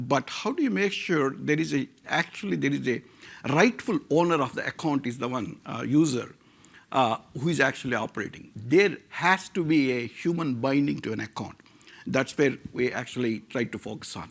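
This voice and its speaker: With vocal fry and lively intonation, a man talks at a moderate pace on a very clean recording with a silent background. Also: medium pitch for a man. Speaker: tech founder. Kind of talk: conference talk.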